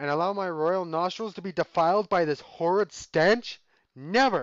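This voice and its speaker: A man in a put-on character voice, high-pitched for a man, at a moderate pace. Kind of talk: pompous, grandiose. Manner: pompous, haughty.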